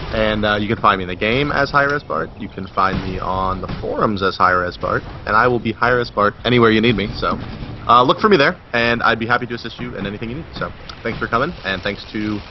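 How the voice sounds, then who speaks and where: Over noticeable background noise, a man with a fairly low pitch speaks at a fairly quick pace. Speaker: game developer community representative. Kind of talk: casual chat. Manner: fast.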